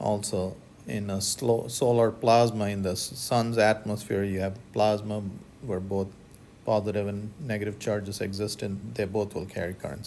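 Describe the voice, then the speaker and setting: A man speaks at a fairly low pitch and a moderate pace. Audible room echo surrounds his voice. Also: fairly even intonation. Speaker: physics professor. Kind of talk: lecture.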